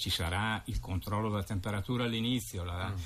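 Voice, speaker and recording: Somewhat breathy and fairly low-pitched, a man talks at a fairly quick pace with fairly even intonation. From Lombardy, northern Italy. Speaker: president of a local tourist association. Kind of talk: casual radio interview. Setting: radio studio. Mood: calm, matter-of-fact. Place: studio.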